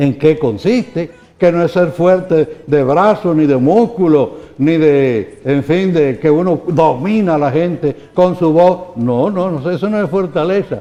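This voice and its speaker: Pitched high, a man speaks at a very slow pace with ordinary pitch variation. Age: 80s+. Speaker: bishop. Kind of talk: interview answers. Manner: halting.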